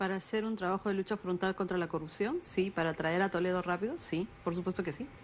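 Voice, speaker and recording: A woman talks at a very fast pace with hardly any pauses and fairly even intonation. Noticeable background noise runs underneath. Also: medium pitch for a woman. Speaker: politician. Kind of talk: interview. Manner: firm, formal.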